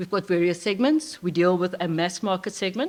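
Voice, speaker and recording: The recording is very clean and the background silent. A woman talks at a middle pitch. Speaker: corporate IT leader. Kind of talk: conference talk. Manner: fast.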